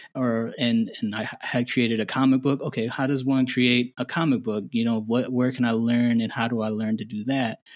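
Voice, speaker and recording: Over a quiet background, a man with an American accent talks at a moderate pace. His pitch is medium and his intonation monotone and flat. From Indiana, US Midwest. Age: 30s. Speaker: artist and former civil engineer. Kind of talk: casual interview.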